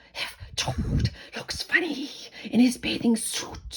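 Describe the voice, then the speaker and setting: Someone puts on a raspy character voice, fairly high in pitch and delivered at a fairly slow pace. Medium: read story.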